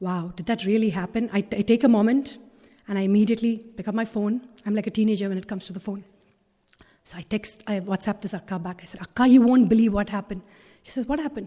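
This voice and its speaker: Her tone dark and mellow, a woman talks at a very fast pace, somewhat breathy, with big swings in loudness. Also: medium pitch for a woman. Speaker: spiritual talk speaker. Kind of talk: inspirational talk. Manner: animated.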